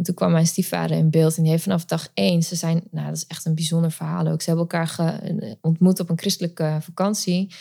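A woman talks fairly low and somewhat breathy, with a dark, mellow tone. Her intonation is fairly even and her pace fairly quick. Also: hardly any pauses. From Netherlands, later Friesland. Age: 30s. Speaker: mother coach. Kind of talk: interview testimony.

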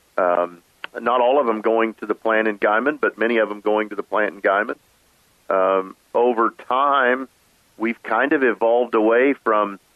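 A man speaks at a moderate pace, his pitch fairly low with ordinary variation. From western Oklahoma, US. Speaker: agricultural trade association executive. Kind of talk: interview. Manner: halting, many repetitions.

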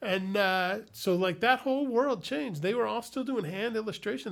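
In an American accent, a man speaks at a moderate pace with lively intonation on a very clean recording with a silent background. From Chicago, Illinois. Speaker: comedian. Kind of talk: casual chat.

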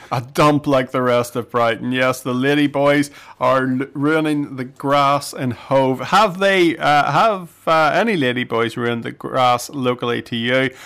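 Here is a man with an unremarkable speaking voice, talking at a fairly slow pace. He hardly pauses, and his pitch varies in an ordinary way. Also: medium pitch for a man. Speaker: radio host. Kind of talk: casual radio chat. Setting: radio studio.

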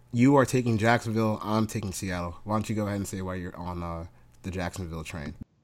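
A man with an ordinary speaking voice and a fairly low pitch uses ordinary pitch variation on a very clean recording with a silent background. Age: 20s. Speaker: sports betting podcast co-host. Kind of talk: casual chat.

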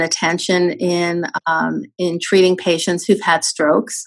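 This is a woman with an ordinary speaking voice. She talks at a fairly slow pace. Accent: American. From New York City. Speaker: physician executive. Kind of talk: interview.

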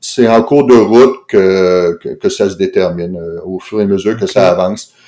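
Dark and mellow in tone, a man speaks at a fairly slow pace. His pitch varies in an ordinary way. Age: 60s. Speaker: anesthesiologist and novelist. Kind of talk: interview conversation. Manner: halting, many repetitions and fillers.

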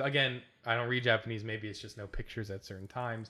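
With a bright, sharp tone, a man talks very fast at a medium pitch. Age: 20s. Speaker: gaming podcast host. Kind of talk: casual chat.

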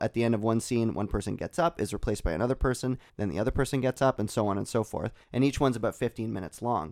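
A man's medium-pitched voice races along at a very fast pace. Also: dry, close sound with no echo. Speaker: filmmaker. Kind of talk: casual chat.

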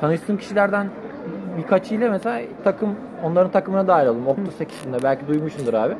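Over crowd noise and audible room echo, a man talks at a fairly quick pace in a high pitch with lively intonation. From Turkey, Antalya. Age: 20s. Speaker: computer engineering student. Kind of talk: casual chat. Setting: outdoor restaurant.

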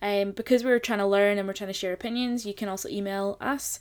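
Talking at a fairly quick pace, a woman with a Scottish accent speaks at a medium pitch. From Scotland. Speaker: podcast co-host. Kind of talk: casual chat. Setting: home attic studio.

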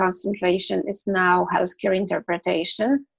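A woman speaks at a medium pitch with a Polish accent. Vocal fry runs through her voice. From Poland. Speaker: medical interpreter. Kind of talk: interview.

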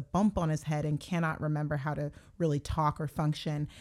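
In a very clean recording with a silent background, a woman speaks at a moderate pace with a very deep, low pitch and a dark, mellow tone. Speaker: television writer. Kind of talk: casual chat. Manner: animated.

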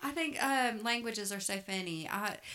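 With a Southern US accent, a woman speaks at a moderate pace in a warm tone with ordinary pitch variation. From US South. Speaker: podcast co-host. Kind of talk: casual chat. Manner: warm, chatty.

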